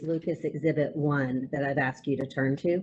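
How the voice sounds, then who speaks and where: A woman with a dark, mellow tone speaks at a moderate pace, keeping her intonation fairly even. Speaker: attorney. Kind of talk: cross-examination.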